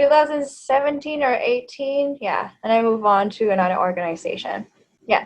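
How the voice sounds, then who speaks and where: Moderate pace and lively intonation, in a Thai accent. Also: woman. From Thailand, Bangkok. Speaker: language coach and YouTuber. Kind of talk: interview conversation.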